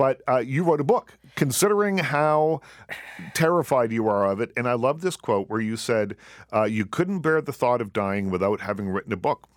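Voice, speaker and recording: Recorded very cleanly against a silent background, the voice moves at a moderate pace with very wide pitch swings and a dry, close sound with no echo. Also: man, medium pitch for a man. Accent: Maritime Canadian. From Nova Scotia, Canada. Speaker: radio talk show host. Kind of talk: casual interview. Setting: studio. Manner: relaxed, many ums and ahs.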